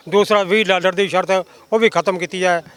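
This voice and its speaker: A man's high voice with ordinary pitch variation, dry and close with no echo. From Punjab, India (Firozpur district). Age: 70s. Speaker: hunger-strike activist. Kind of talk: interview. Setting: outdoors at a protest site.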